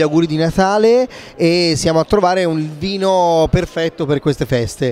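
At a moderate pace, a man talks with a high pitch. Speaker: wine show host. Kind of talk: casual interview chat.

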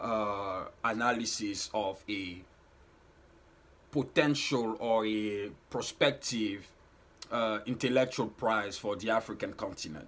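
A man speaks at a very slow pace. His pitch varies in an ordinary way. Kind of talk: explanatory talk to camera. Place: home room. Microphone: phone near.

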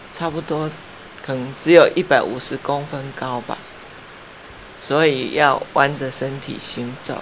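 Over light background noise, a woman with a very deep, low voice talks at a very slow pace, her loudness swinging widely, her intonation fairly even and her pauses long and frequent. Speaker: tourist. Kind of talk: interview answer. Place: home room. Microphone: lapel.

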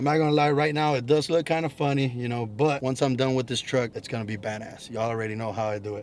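A man talks at a very fast pace with hardly any pauses and fairly even intonation, his voice dry with no echo over light background noise. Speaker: automotive vlogger. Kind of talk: casual vlog chat. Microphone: camera far.

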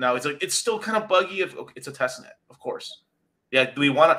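At a very fast pace, a man speaks in an animated tone. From Mexican heritage. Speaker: crypto YouTuber. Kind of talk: casual chat. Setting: video call. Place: home room.

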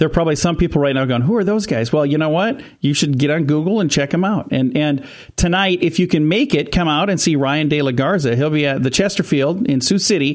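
A man talks at a very fast pace with hardly any pauses, ordinary pitch variation and very even loudness against a quiet background. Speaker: radio show host. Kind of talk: radio interview and promo talk. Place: studio.

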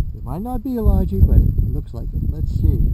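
A man is heard in a dry sound with no echo, against loud background noise. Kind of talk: casual vlog chat. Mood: excited about a find. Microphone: phone near.

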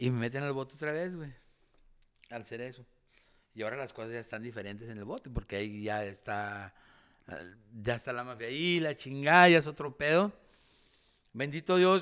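Against a quiet background, a man at medium pitch talks at a moderate pace with lively intonation, big swings in loudness, and long, frequent pauses. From Durango, Mexico. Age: 40s. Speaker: retired boxer; guest. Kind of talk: casual interview. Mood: candid, reflective storytelling. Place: studio. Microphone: studio mic.

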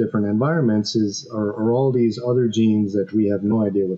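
Moderate-paced male speech with ordinary pitch variation. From Quebec, Canada. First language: French. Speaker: animal microbiome professor; podcast guest. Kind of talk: interview. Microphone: headset.

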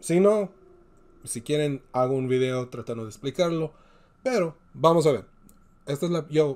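The man's speech runs at a moderate pace, his pitch varying in an ordinary way. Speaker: YouTube movie reaction host. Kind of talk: trailer reaction commentary; casual vlog chat. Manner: animated.

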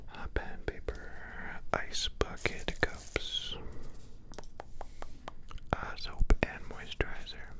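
A man whispers, soft-spoken and very slow. Noticeable background noise runs underneath. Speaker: ASMR creator. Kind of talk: soft-spoken ASMR chat. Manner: soft close-mic whisper. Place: home room. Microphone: studio mic.

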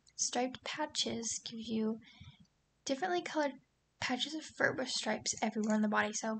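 Talking quietly at a fairly quick pace, a woman uses a fairly high pitch with ordinary pitch variation. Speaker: gaming YouTuber. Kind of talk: gameplay commentary.

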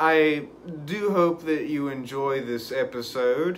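Light background noise sits under a man speaking with ordinary pitch variation. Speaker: urban exploration vlogger. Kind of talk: casual vlog chat. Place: home room. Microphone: phone near.

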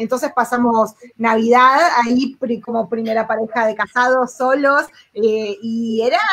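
A woman's high-pitched voice at a fairly slow pace. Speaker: travel blogger. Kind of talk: live panel chat. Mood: warm, reminiscing. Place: home room. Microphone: video call.

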